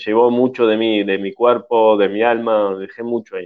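The delivery comes at a fairly slow pace. The intonation stays monotone and flat. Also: man. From Uruguay. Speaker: actor. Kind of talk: radio interview. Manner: halting, many repetitions and fillers.

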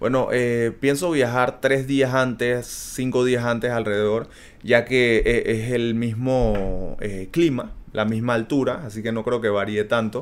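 A man's plain, everyday voice at medium pitch, fairly slow, with fairly even intonation. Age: 30s. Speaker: athlete. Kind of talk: interview.

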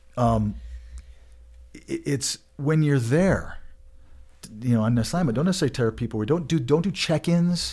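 A man with an American accent and fairly high pitch, long, frequent pauses, and a very clean recording with a silent background. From Colorado. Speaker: podcast host. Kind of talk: casual chat. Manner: fast.

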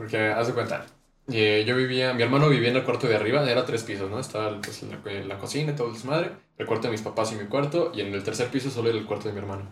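A man with a Mexican accent talks at a very fast pace and a medium pitch. His voice is somewhat breathy, with ordinary pitch variation. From Mexico. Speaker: musician and audio engineering student. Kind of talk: casual chat.

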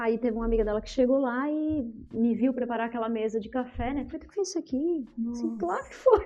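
A woman talks at a very fast pace with hardly any pauses. Her pitch is high, with ordinary pitch variation. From southern Brazil, Criciúma, Santa Catarina. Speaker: businesswoman. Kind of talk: interview, telling her life story.

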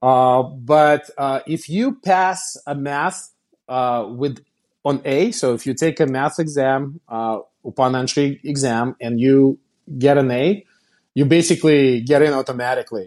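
A man's fairly high voice with a Russian accent, ordinary pitch variation and a fairly slow pace, against a quiet background. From Kazan, Russia. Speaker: company founder and CEO.

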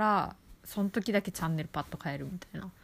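A woman speaks with lively intonation. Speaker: podcast host. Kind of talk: casual solo talk. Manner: chatty, casual.

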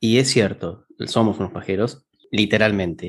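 With a plain, everyday voice, this man holds a mid-range pitch that rises and falls in a normal way. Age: 30s. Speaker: podcast co-host. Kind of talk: casual chat.

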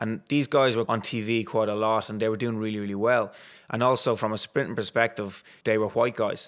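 A man with a Dublin accent and monotone, flat intonation. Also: medium pitch for a man, fairly quick pace. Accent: Dublin Irish. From Ireland, Dublin. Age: 30s. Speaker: retired sprinter and corporate coach. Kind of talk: interview.

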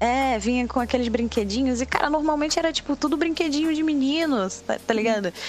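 Over noticeable background noise, a woman speaks at a high pitch and a fairly quick pace, with ordinary pitch variation, very even loudness and hardly any pauses. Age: 20s. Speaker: cosplayer and history student. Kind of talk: casual chat.

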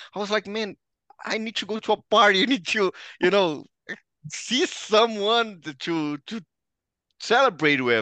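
A man with a Brazilian accent projects a raised, high-pitched voice with a bright, sharp, animated tone and lively intonation. He goes at a fairly slow pace, with long, frequent pauses. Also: dry, close sound with no echo, quiet background. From Brazil, Ribeirão Preto (São Paulo state). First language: Portuguese. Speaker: sports journalist and commentator. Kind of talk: casual interview chat.

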